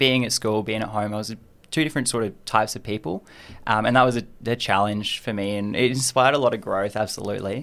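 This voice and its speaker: With an Australian accent, a medium-pitched man talks at a very fast pace with fairly even intonation on a very clean recording with a silent background. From Australia, Adelaide. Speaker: university student. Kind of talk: interview.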